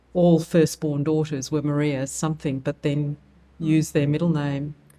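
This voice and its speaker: Speaking at a moderate pace, a woman with an Australian accent has a very deep, low pitch and a dark, mellow tone. Her intonation is monotone and flat. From Australia, Wollongong. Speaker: nonprofit CEO. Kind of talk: interview.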